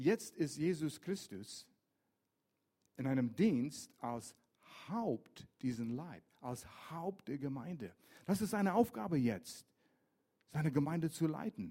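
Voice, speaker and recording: Very slow and marked by long, frequent pauses, this man's speech has a dark, mellow tone. His fairly high pitch swings very widely. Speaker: pastor. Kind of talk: sermon. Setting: church.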